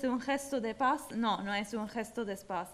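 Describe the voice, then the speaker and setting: Speaking at a very slow pace, a woman with a high pitch talks in an Italian accent. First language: Italian (speaking Spanish). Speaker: former mayor and activist; former mayor. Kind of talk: award acceptance speech. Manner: halting. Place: hall. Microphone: podium.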